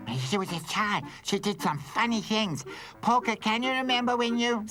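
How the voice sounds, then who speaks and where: Clear background noise sits under a cartoonish character voice. It is fairly high in pitch and moves at a moderate pace. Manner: teasing, mocking.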